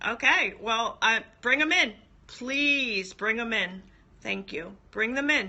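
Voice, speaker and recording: With an American accent and lively intonation, a woman speaks very slowly at a fairly high pitch. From South Jersey, near the Jersey Shore. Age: 40s. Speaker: ex-wife telling her story. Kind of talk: casual livestream chat.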